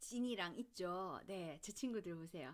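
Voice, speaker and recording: A woman with lively intonation. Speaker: children's book reader and parenting channel host. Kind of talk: casual talk and reading a picture book aloud to parents. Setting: outdoors in daylight.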